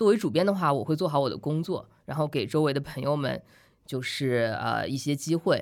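Her pitch very deep and low, a woman talks with lively intonation and vocal fry. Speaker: author and magazine editor. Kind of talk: casual chat. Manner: frank, candid.

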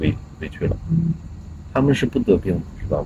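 A man rattles off words at a very fast pace with noticeable background noise around him. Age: 40s. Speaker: blues musician and guitarist. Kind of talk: casual chat.

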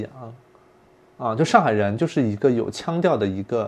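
In an unremarkable speaking voice, a man talks at a fairly quick pace with lively intonation. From not from Shanghai. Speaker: podcast host. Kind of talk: casual chat.

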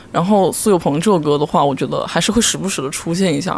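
Noticeable background noise runs under this recording. A man speaks at a fairly quick pace with lively intonation. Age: 20s. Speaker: variety show fan. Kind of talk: casual chat.

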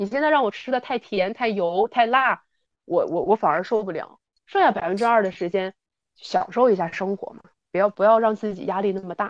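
Speaking at a fairly quick pace with big swings in loudness, a woman at medium pitch uses a plain, everyday voice with ordinary pitch variation in a dry, close sound with no echo. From Northeast China. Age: 30s. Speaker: fitness enthusiast. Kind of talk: casual chat. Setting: remote recording.

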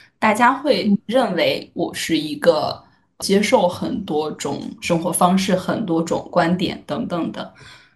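At a very slow pace, a woman speaks in a somewhat breathy, medium-pitched voice with lively intonation. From Shaanxi, northwest China. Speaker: podcaster. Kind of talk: casual chat.

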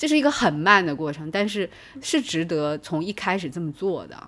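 This very clean recording with a silent background features a voice at a moderate pace with very wide pitch swings. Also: woman. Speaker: psychology professor. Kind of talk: casual chat.

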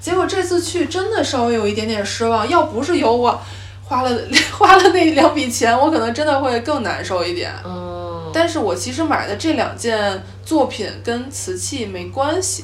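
An animated woman at a moderate pace amid noticeable background noise. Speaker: podcast host, guest here. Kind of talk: casual chat. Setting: travel, recorded on the trip.

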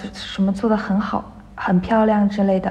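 Noticeable background noise behind a woman's voice at medium pitch. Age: 20s. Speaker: dance student and part-time dance teacher. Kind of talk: interview.

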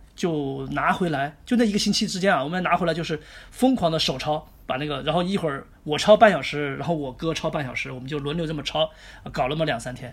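This man's voice sits fairly high, with ordinary pitch variation. He talks fairly quickly. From Chongqing, China. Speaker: chess grandmaster. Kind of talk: interview. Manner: hesitant with fillers.

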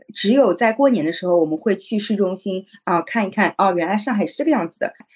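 With lively intonation, a woman speaks in a plain, everyday voice at medium pitch. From Shanghai (migrant family, moved in primary school). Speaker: e-commerce manager. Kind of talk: casual chat.

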